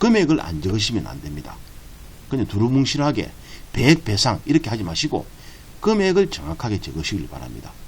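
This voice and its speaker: A man's voice swings very widely in pitch, carrying vocal fry as he moves at a fairly quick pace. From Busan, South Korea. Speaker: real estate agent. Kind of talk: tutorial.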